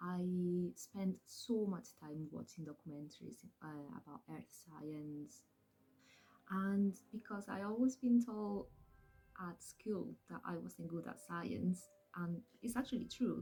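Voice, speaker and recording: With music in the background, a woman in a Spanish accent speaks with big swings in loudness and long, frequent pauses. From southern Spain. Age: 30s. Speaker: vlogger and geology student. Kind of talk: casual Q&A vlog. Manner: hesitant, many fillers.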